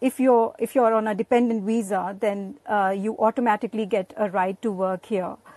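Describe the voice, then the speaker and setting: A woman's fairly high voice with an Indian accent, dark and mellow in tone, at a moderate pace, dry and close with no echo. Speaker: guest, spouse of a host. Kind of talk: casual chat.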